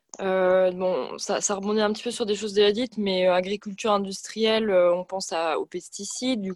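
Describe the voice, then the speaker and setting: A woman talks at a fairly slow pace in a medium pitch. The sound is dry and close, with no echo. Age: 20s. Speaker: environmental activist, medical student. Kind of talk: radio interview. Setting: remote from home. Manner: hesitant, many fillers.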